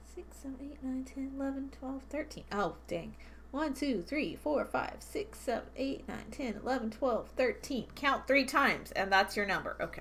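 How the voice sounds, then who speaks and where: A woman talks at a moderate pace, with hardly any pauses. Her tone is animated. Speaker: beading streamer. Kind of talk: casual chat. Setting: live stream. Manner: mumbling at times; chatty and animated.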